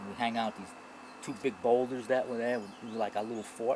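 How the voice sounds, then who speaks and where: A man with a New York accent talks at a fairly quick pace. His pitch sits in the medium range. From New York, the Bronx. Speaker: author and Vietnam veteran. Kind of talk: interview. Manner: halting.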